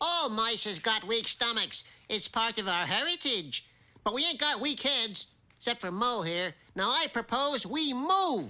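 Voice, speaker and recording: This is a cartoonish character voice with a fairly high pitch. It moves along at a moderate pace. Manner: brash, ungrammatical street talk.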